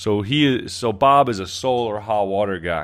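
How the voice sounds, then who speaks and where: Spoken in a plain, everyday voice, the words come at a fairly slow pace with ordinary pitch variation. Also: man. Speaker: podcast host. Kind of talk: casual interview chat. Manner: upbeat, friendly.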